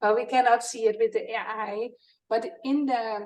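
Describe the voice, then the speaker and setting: A woman with a Dutch accent speaks at a fairly slow pace and a fairly high pitch. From Netherlands. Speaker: product co-founder presenting. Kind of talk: product demo.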